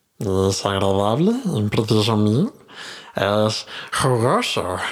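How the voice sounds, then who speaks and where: A put-on character voice moves at a very slow pace over audible hissing. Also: man, fairly low pitch for a man. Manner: hissing, sibilant.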